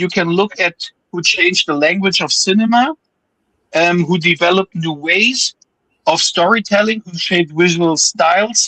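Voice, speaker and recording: A man with a German accent, high-pitched, bright and sharp in tone, at a moderate pace with ordinary pitch variation, in a dry, close sound with no echo. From Germany. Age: 40s. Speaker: film enthusiast panelist. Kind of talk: reading aloud; casual chat.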